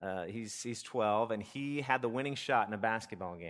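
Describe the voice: Simply plain reading aloud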